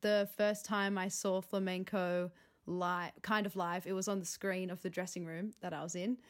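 A woman with an Australian accent talks at a moderate pace in a monotone, flat intonation. The recording is very clean, with a silent background. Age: 20s. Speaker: contemporary dancer. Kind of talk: casual interview.

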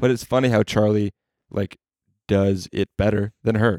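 A man with an unremarkable speaking voice speaks at a fairly low pitch and a fairly quick pace, with fairly even intonation. The recording is very clean with a silent background and has a dry, close sound with no echo. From New Jersey. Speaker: podcast co-host. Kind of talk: casual chat.

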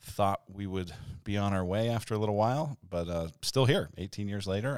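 With an American accent, a plain, everyday voice moves at a fairly quick pace with ordinary pitch variation on a very clean recording with a silent background. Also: man. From Denver, Colorado. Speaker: church pastor and podcast host. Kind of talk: casual chat.

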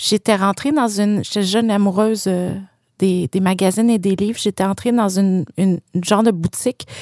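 A woman's fairly quick voice in a Quebec accent, medium-pitched with ordinary pitch variation and very even loudness, dry and close with no echo on a very clean recording with a silent background. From Quebec City suburbs, Quebec. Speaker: exhibition curator. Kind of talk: casual interview conversation.

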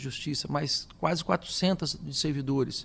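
Vocal fry marks this man's voice, which carries lively intonation. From interior of São Paulo state, Brazil. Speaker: state prosecutor-general. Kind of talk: radio interview. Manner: halting, many fillers and repetitions.

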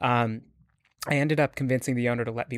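An unremarkable speaking voice: a man with a Canadian accent, medium in pitch, speaking at a fairly quick pace with fairly even intonation. The sound is dry and close with no echo, on a very clean recording with a silent background. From Canada. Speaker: startup CEO. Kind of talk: interview. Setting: studio.

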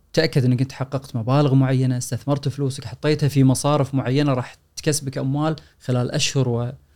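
Monotone and flat, a man speaks at a fairly quick pace. His medium-pitched voice has a dark, mellow tone. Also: hardly any pauses. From Kuwait. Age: 40s. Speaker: personal finance author and lecturer. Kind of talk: casual chat.

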